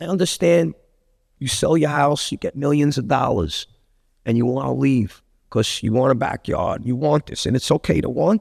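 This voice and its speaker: In a Brooklyn accent, a man talks at a moderate pace, the sound dry and close with no echo. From Brooklyn, New York (Bensonhurst/Gravesend). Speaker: actor and director. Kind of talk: casual interview chat. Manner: animated, repetitive stammering.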